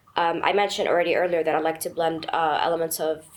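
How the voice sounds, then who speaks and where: A woman speaks in a fairly low, monotone voice with flat intonation. Noticeable background noise runs underneath. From Egypt. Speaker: film producer and actress. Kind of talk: panel discussion. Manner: halting, many fillers.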